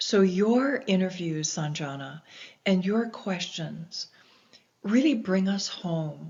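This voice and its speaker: In an American accent, a woman speaks at a very slow pace with medium pitch, lively intonation and a somewhat breathy quality. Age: 60s. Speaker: explorer and environmentalist. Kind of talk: interview.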